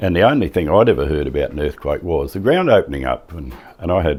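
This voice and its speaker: A man speaks with a strong Australian accent and a very deep, low pitch. Vocal fry runs through his voice. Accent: broad Australian. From Western Australia, wheatbelt. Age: 70s. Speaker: retired farmer and former radio man. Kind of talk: interview, personal recollection.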